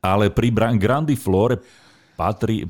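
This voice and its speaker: A man's fairly slow, vocal-fried speech with lively intonation, in a very clean recording with a silent background. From central Slovakia (Nová Baňa). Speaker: podcast host, gardening expert. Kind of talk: casual chat.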